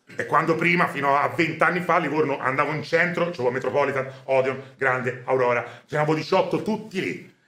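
Audible room echo surrounds a man's fairly high voice. His tone is animated. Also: ordinary pitch variation, fairly quick pace. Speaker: film commentator. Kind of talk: casual chat. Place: home room.

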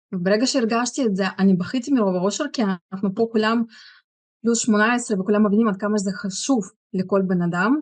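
A woman speaks in a somewhat breathy voice against a quiet background. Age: 40s. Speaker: product user giving testimony. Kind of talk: testimony. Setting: stage with audience. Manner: halting. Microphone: video call.

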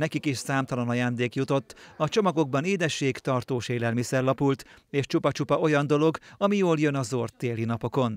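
A man speaks in an ordinary speaking voice, fairly high-pitched and at a fairly quick pace, with ordinary pitch variation. The recording is very clean and dry, close with no echo, over a silent background. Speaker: news reporter. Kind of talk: scripted narration.

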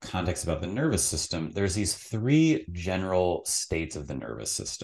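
A man speaks at a moderate pace with a very deep, low pitch and vocal fry. His pitch swings very widely against a quiet background. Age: 30s. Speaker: psychotherapist; podcast guest. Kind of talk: casual interview conversation. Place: home room. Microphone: studio mic.

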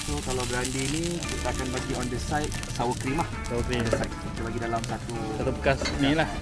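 A man talks at a moderate pace while loud music plays behind him. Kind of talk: interview answer. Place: market. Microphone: phone near.

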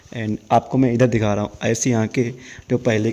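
The man talks in a monotone, with flat intonation. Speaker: travel vlogger. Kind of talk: casual vlog tour narration. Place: hall. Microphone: phone near.

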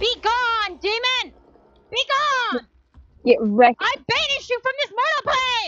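Pitched extremely high, a put-on character voice proceeds at a moderate pace with long, frequent pauses. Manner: triumphant, dramatic.

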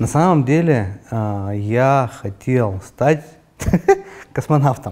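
A man speaking at a very slow pace with lively intonation. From Urals, Russia (Yekaterinburg); Urals, Russia. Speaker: entrepreneur; guest. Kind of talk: interview; interview answer. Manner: hesitant, many fillers. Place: studio. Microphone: lapel.

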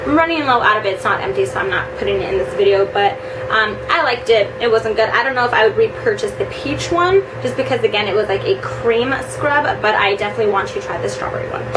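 A woman talks very fast with hardly any pauses. Noticeable background noise is present. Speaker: beauty vlogger. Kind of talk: casual vlog product review. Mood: chatty and upbeat. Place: home room. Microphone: camera far.

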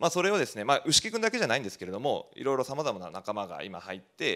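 The pace is very fast, with very wide pitch swings. The background is quiet. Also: man. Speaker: rural community organizer; presenter, panelist. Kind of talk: presentation. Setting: stage with audience. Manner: many fillers, casual. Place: hall. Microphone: handheld.

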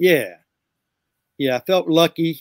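A man speaks with a fairly high pitch and ordinary pitch variation. The background is quiet. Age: 60s. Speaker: music producer and guitarist; guest. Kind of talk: interview. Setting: video call. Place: studio.

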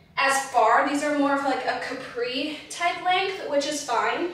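Strong room echo surrounds a woman talking at a fairly slow pace in a high voice. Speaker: fashion try-on vlogger. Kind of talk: casual vlog chat. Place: home room.

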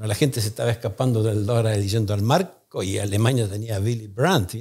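Against a quiet background, a man with an Argentine accent talks at a fairly quick pace, somewhat breathy, with ordinary pitch variation. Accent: Argentine Spanish (Rioplatense). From Argentina. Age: 60s. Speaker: economist, think tank founder; podcast guest. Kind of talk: interview. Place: studio. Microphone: studio mic.

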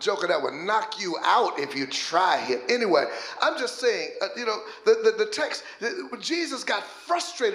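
In a room with audible echo, a man with a high pitch and an animated tone talks at a moderate pace with very wide pitch swings. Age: 50s. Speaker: pastor. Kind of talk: sermon. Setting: church. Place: church. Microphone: handheld.

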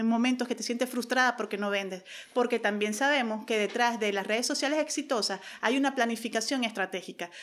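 A woman with a normal speaking voice talks at a moderate pace, her fairly high pitch following a fairly even intonation. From Venezuela. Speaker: social media marketing consultant; podcast guest. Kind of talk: interview. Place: office. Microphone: studio mic.

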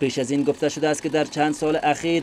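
This man's slightly mellow voice sits at a fairly high pitch and shows little pitch movement.

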